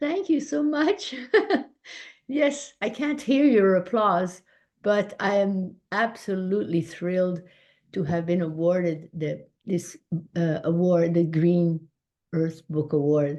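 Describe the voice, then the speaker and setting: With a French Canadian accent, a woman speaks at a very slow pace in a dark, mellow tone, her medium pitch making very wide swings. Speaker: children's book author and illustrator. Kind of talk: award acceptance speech. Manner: halting, many fillers.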